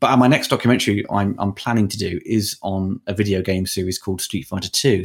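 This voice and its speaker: Fairly quick and in a normal speaking voice, a man speaks at a fairly low pitch with fairly even intonation in a very clean recording with a silent background. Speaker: film critic and documentary filmmaker. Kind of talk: interview.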